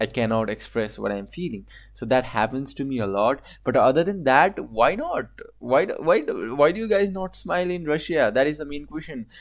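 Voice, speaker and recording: His pitch fairly high for a man, he talks at a fairly quick pace with very wide pitch swings. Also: quiet background. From Asia. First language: not English. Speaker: reaction video creator. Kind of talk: casual commentary reacting to a video.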